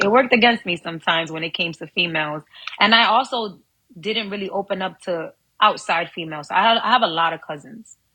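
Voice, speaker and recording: A woman talks very fast in a New York accent, her pitch medium with ordinary variation. Her loudness swings widely. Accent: New York accent, Dominican heritage. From New York, Harlem. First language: Spanish. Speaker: actress and model. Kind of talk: podcast interview.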